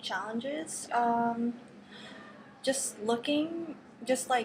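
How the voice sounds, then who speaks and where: A woman with a Filipino accent speaks at a fairly high pitch with ordinary pitch variation against noticeable background noise. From Philippines until age 9, then Las Vegas. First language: Tagalog. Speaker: university student. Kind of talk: casual interview.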